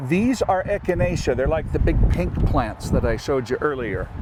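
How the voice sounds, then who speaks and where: Moderately paced speech from a man in an echoing room, with clearly noticeable background noise. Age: 60s. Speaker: farmer. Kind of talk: tutorial.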